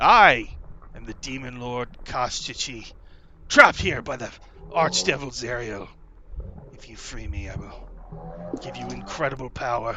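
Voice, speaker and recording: Amid clear background noise, a man puts on a booming character voice at a medium pitch, speaking at a moderate pace with long, frequent pauses. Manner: commanding.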